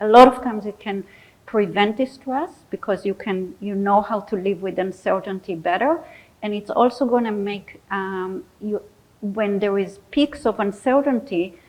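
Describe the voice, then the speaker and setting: A woman speaks with a non-native accent at a medium pitch. Her pace is fairly slow, and her pitch varies in an ordinary way. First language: not English. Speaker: psychologist. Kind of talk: audience Q&A; lecture.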